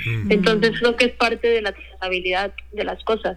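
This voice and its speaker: A woman speaks in a bright, sharp tone. Her intonation is flat and monotone. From Mexico, Guadalajara, Jalisco. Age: 20s. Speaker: chef. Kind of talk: interview.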